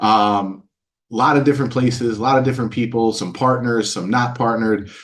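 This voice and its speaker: A man speaks at a fairly quick pace in an energetic tone, his medium-pitched voice carrying audible room echo. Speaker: webinar host. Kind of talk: live webinar presentation. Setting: live online webinar with headset. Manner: loud; energetic, hesitant with fillers.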